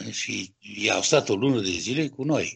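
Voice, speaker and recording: Speaking at a very slow pace with vocal fry, a man shows ordinary pitch variation. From Romania. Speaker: sculptor. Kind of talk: interview. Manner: halting.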